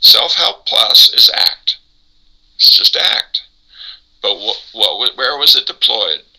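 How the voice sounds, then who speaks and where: In an American accent, a man speaks at a very slow pace with long, frequent pauses. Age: 70s. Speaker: psychologist, therapy co-developer. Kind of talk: interview. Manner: talkative, long answers.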